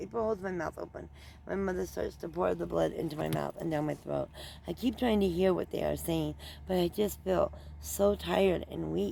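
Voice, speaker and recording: A raspy, put-on character voice at a moderate pace. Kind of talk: audiobook-style story reading. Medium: read story.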